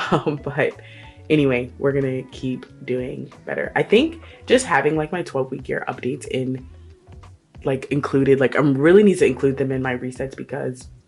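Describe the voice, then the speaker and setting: With music in the background, a woman with a very deep, low pitch speaks at a moderate pace and ordinary pitch variation. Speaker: lifestyle vlogger. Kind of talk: casual talk to camera.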